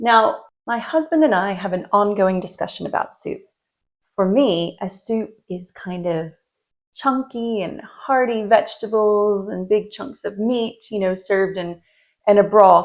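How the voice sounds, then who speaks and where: Soft-spoken delivery at a fairly slow pace, with ordinary pitch variation and big swings in loudness. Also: woman, medium pitch for a woman. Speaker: lifestyle vlogger. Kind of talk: casual talk to camera.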